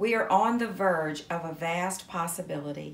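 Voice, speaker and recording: A woman with a fairly low pitch at a fairly slow pace, audible room echo around her. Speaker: reader of spiritual text. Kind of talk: devotional reading. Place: home room.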